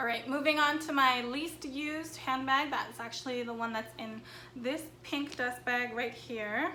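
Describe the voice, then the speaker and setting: Her voice is raised and projected, high in pitch. The woman goes at a fairly slow pace with fairly even intonation. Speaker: fashion YouTuber. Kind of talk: casual talk to camera.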